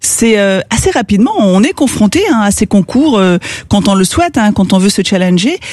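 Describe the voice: The voice moves at a fairly quick pace and has a slightly mellow tone. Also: woman, medium pitch for a woman, lively intonation.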